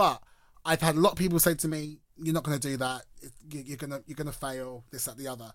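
A man's animated, fairly high voice in a London accent, very fast in pace, with big swings in loudness. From London, Enfield. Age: 30s. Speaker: drag performer. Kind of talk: casual chat. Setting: studio.

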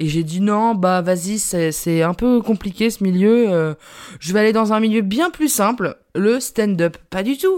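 Captured on a very clean recording with a silent background, a woman speaks very slowly with lively intonation. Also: medium pitch for a woman. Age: 20s. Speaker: podcaster and journalist. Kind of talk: casual solo monologue. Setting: home recording. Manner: animated.

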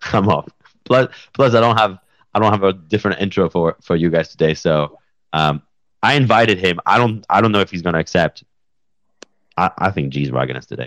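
A man's animated, very deep, low voice with vocal fry and lively intonation, at a fairly quick pace with long, frequent pauses, in a dry, close sound with no echo. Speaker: podcast host. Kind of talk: casual chat. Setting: home studio with new mic. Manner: animated, joking.

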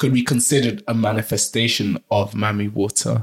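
This man's voice is somewhat breathy, and he talks at a moderate pace. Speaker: podcast co-host. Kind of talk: casual podcast chat.

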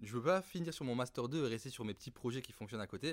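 A man in a normal speaking voice, medium-pitched, with lively intonation at a fairly quick pace, on a very clean recording with a silent background. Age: 30s. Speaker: startup founder and CEO. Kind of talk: interview.

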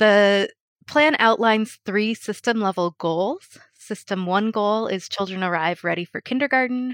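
With a General American accent and a normal speaking voice, a woman talks fairly slowly at a medium pitch with ordinary pitch variation, the sound dry and close with no echo over a quiet background. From Colorado. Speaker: early learning research manager. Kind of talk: panel interview.

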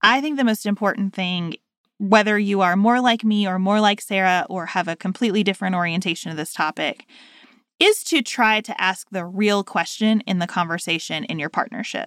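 The sound is dry and close, with no echo. A woman speaks at a fairly quick pace and medium pitch, with ordinary pitch variation. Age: 30s. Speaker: podcast co-host, lawyer. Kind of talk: casual chat.

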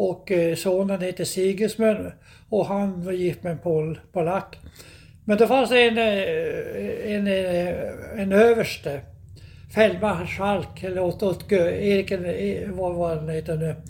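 A man's high-pitched voice at a very slow pace with fairly even intonation. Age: 80s+. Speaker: podcast host's elderly father recounting family history. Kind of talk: casual interview. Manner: halting, repeating words.

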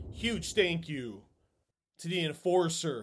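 Upbeat, fairly high-pitched male speech with a Chicago accent and ordinary pitch variation, on a very clean recording over a silent background. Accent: Chicago-area American. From US Midwest, Chicago. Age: 40s. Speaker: podcast host. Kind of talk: casual interview chat. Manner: upbeat, chatty, informal.

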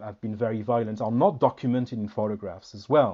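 A man with a French accent. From France. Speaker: historian. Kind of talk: interview. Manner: halting, repeats words.

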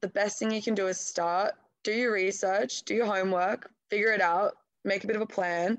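Someone speaks with an Australian accent at a fairly quick pace. The intonation stays fairly even. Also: woman, medium pitch for a woman. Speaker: artist. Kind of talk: interview. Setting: phone call.

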